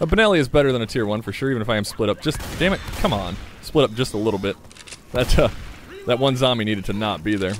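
Lively in intonation, a man speaks at a medium pitch and a very fast pace. Noticeable background noise runs behind him. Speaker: gaming YouTuber. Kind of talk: gameplay commentary. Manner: casual, conversational.

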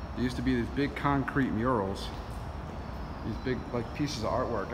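The pace is fairly quick. Noticeable background noise sits behind the voice. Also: man. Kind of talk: casual vlog commentary. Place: factory. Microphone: phone near.

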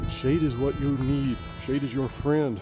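A man's voice, dry with no echo, over clear background music. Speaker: RV traveler vlogger. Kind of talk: casual vlog chat. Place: open country. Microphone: phone near.

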